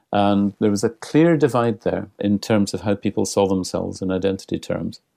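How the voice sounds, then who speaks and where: A dark, mellow tone with a Scottish accent at a moderate pace, in a dry, close sound with no echo. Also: man. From Scotland. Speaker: international cultural relations consultant. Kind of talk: interview.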